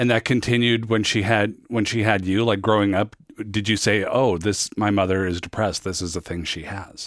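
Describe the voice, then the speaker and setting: In a normal speaking voice with an American accent, a man talks at a moderate pace and fairly low pitch, his intonation fairly even, on a very clean recording with a silent background. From US Pacific Northwest, Federal Way. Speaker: podcast host. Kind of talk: interview with scripted narration. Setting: studio.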